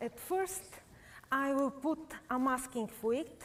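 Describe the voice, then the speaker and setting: Spoken with a Bulgarian accent, the voice shows ordinary pitch variation. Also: woman. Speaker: painter. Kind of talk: live painting demonstration. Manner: halting, many fillers.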